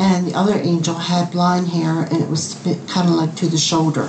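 A woman's fairly low voice at a fairly slow pace with noticeable background noise. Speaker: angel painter. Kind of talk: personal testimony. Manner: hesitant, halting.

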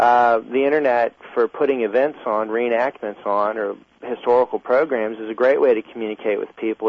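Using an unremarkable speaking voice, a man talks at a medium pitch and moderate pace with fairly even intonation. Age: 30s. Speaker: Civil War reenactor and filmmaker. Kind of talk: radio interview.

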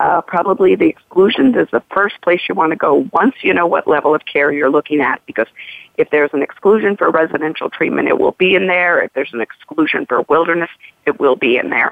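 A woman with an American accent and an ordinary speaking voice, fairly low-pitched, talking at a fairly quick pace with lively intonation. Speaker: health insurance advocate. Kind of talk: radio interview.

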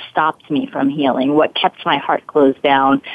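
A woman with an American accent speaks at a moderate pace with lively intonation. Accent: slight Brooklyn accent, mostly trained away. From Brooklyn, New York. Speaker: forgiveness coach and performer. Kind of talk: interview.

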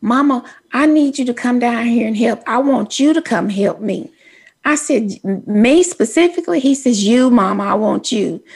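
A woman's high voice with a Texan accent and lively intonation. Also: moderate pace. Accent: Texas country. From Texas. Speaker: radio host. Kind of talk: casual chat.

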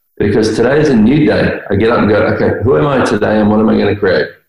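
At a moderate pace, a man speaks in an Australian accent. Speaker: guest.

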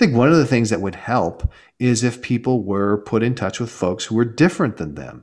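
Lively intonation and vocal fry mark this fairly quick speech with an American accent, captured in a very clean recording with a silent background. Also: man, medium pitch for a man. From Southern California, Los Angeles. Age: 40s. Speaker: startup investor and author. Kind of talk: interview.

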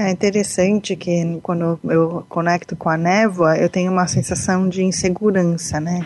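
A woman's fairly low voice with a Brazilian accent, at a fairly slow pace and with fairly even intonation. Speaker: radio host and coach. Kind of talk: interview.

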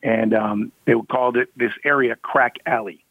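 With an American accent, a man speaks in a normal speaking voice at medium pitch, his pitch varying in an ordinary way. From Michigan, US. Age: 50s. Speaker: self-defense instructor. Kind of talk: interview.

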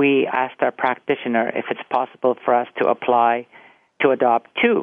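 A man talks at a medium pitch. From Cyprus, then Canada from age 11. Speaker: actor and theatre teacher, family caregiver. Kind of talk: interview. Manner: halting, many fillers.

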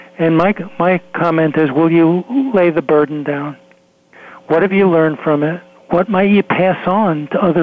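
A man's fairly high-pitched voice at a moderate pace, with ordinary pitch variation, very even loudness, and noticeable background noise. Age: 70s. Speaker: psychologist and author. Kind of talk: radio interview.

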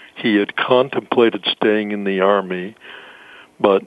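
Speaking at a moderate pace, a man with an American accent has a fairly low pitch. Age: 80s+. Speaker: author. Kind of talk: radio interview.

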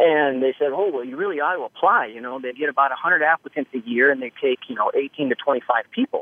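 A man's ordinary speaking voice with an American accent, fairly high in pitch, fairly quick with hardly any pauses, and big swings in loudness. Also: ordinary pitch variation. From northern Idaho. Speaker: gunsmith. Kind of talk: interview.

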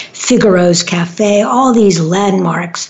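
Her pace is very slow. This woman has an American accent and ordinary pitch variation. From New York City, Manhattan. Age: 70s. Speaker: radio host and relationship therapist. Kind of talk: casual monologue on a talk radio show. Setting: studio.

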